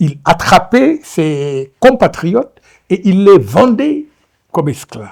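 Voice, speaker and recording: A man with a Senegalese accent and very wide pitch swings, on a very clean recording with a silent background. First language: Wolof (speaking French). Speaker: novelist. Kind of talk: lecture. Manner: hesitant, many fillers.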